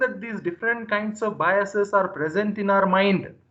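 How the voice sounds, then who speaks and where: His tone bright and sharp, a man speaks in a high voice at a moderate pace. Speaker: lecturer. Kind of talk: lecture. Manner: energetic.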